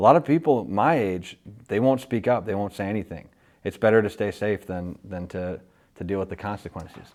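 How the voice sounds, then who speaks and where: A man's plain, everyday voice at a fairly quick pace with lively intonation, on a very clean recording against a silent background. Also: fairly low pitch for a man. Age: 20s. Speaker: podcast interviewer. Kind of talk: interview.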